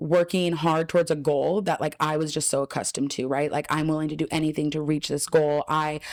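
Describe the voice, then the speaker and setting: A woman speaks with an American accent at a fairly quick pace, barely pausing. Her very deep, low voice stays monotone and flat. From Southern California (Ontario). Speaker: paralysis recovery trainer and educator. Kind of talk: podcast interview. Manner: loud; casual, filler-heavy.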